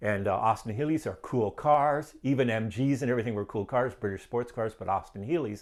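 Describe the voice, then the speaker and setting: With a Canadian accent and a plain, everyday voice, a man speaks at a fairly quick pace and medium pitch with ordinary pitch variation, in a very clean recording with a silent background. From Ontario, Canada (Niagara region). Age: 60s. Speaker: guest sharing life story. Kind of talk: testimony. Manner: casual, conversational.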